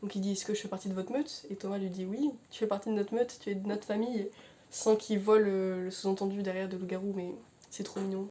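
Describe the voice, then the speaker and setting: Mumbling at a very fast pace, a woman speaks at medium pitch with fairly even intonation and big swings in loudness. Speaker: book reviewer youtuber. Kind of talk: book review monologue. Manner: mumbles words, hesitant.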